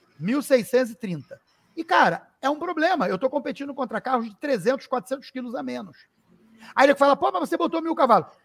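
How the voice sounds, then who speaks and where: A man at an extremely high pitch and moderate pace, with lively intonation, big swings in loudness, and a dry, close sound with no echo. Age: 50s. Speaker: racing driver and car content creator. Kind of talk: casual chat.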